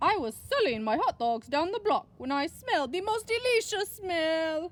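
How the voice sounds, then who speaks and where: Extremely high-pitched put-on character voice from a woman, with very wide pitch swings, at a moderate pace. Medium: read story.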